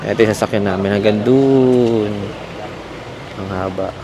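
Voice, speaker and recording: This man has a fairly low-pitched voice. Noticeable background noise runs under the recording. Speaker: travel vlogger. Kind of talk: casual travel vlog.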